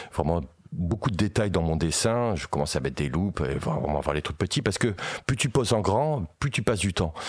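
A man talks at a fairly quick pace in a very deep, low voice. His pitch swings very widely. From Paris region. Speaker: metal singer and illustrator. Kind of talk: casual chat.

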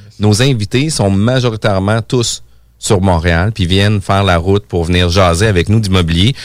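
An unremarkable speaking voice moves at a moderate pace with ordinary pitch variation and very even loudness in a very clean recording with a silent background. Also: man, fairly low pitch for a man. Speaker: radio host and real estate broker. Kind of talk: radio interview.

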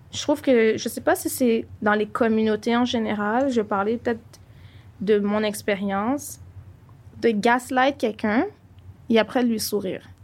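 A woman's fairly high voice at a fairly slow pace, with fairly even intonation and long, frequent pauses. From Montreal, Quebec. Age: 20s. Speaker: podcast co-host. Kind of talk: casual chat.

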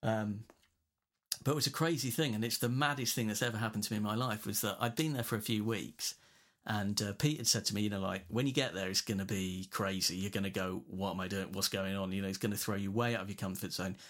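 Talking very fast, a man has an English accent and fairly low pitch. His pitch varies in an ordinary way. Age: 40s. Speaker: guitarist. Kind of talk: casual chat. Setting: remote call.

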